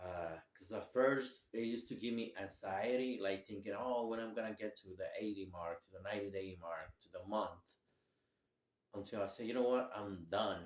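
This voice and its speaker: A man talks at a moderate pace and a fairly low pitch, with fairly even intonation. His loudness swings a lot. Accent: non-native. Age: 30s. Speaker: vlogger sharing recovery story. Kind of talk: personal testimony. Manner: halting, many fillers.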